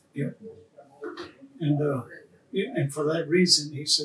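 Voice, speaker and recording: A man's fairly high, somewhat breathy voice at a fairly slow pace. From Devils Lake Sioux Reservation, North Dakota. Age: 80s+. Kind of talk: interview answer.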